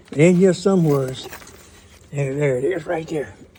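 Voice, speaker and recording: With ordinary pitch variation and a moderate pace, a man talks against noticeable background noise. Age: 80s+. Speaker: worm farmer. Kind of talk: tutorial. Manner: casual, halting.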